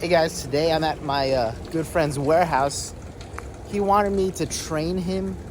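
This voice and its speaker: Over noticeable background noise and audible room echo, a man with a New Jersey accent talks at a moderate pace with ordinary pitch variation. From New Jersey, Central Jersey. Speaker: fitness vlogger. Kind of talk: casual vlog. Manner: animated.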